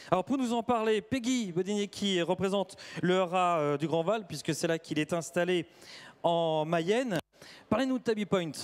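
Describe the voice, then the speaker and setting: High-pitched, a man speaks with very even loudness. The sound is dry and close with no echo, on a very clean recording with a silent background. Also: ordinary pitch variation, moderate pace. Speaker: event presenter. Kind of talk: live presentation.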